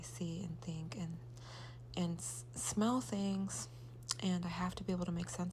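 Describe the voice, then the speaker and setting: A woman's voice with audible room echo. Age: 40s. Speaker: mother vlogger. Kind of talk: gratitude monologue. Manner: halting.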